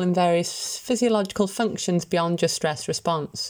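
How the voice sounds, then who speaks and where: A woman with medium pitch uses an ordinary speaking voice at a moderate pace. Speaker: volunteer newsreader. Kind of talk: reading aloud.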